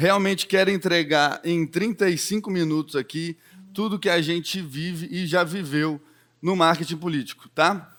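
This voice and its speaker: A high male voice with fairly even intonation and music in the background. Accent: Minas Gerais. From Belo Horizonte, Minas Gerais, Brazil. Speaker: political marketing speaker. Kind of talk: keynote talk.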